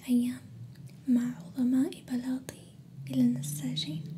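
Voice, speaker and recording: A soft-spoken woman's calm tone at a very slow pace, light background noise underneath. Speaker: ASMR storyteller. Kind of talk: ASMR bedtime story reading. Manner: soft-spoken, calm.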